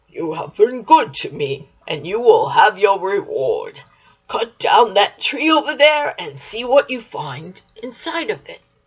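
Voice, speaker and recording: The voice is a put-on character voice with a fairly high pitch. It moves at a fairly slow pace. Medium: read story.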